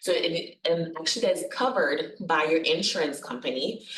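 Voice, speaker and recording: Against noticeable background noise and audible room echo, a woman with a fairly low voice talks at a fairly slow pace. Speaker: nurse practitioner presenting on hospice. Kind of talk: workshop presentation. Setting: workshop venue with live audience, also webinar.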